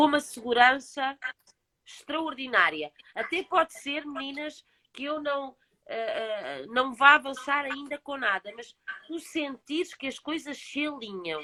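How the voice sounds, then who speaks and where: With a European Portuguese accent, a woman speaks at a high pitch in a raised, projected voice, fairly slowly, with ordinary pitch variation, big swings in loudness, long, frequent pauses, and a dry, close sound with no echo. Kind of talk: casual chat.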